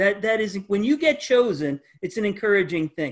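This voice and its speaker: Against a quiet background, a man speaks at a high pitch that swings very widely. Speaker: pastor. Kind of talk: Bible study lesson. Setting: video call. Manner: halting, many fillers and repetitions. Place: home room. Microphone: webcam.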